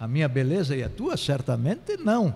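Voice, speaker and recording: A man's dark, mellow tone at a moderate pace. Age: 60s. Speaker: political consultant and sociologist. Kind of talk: interview. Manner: halting.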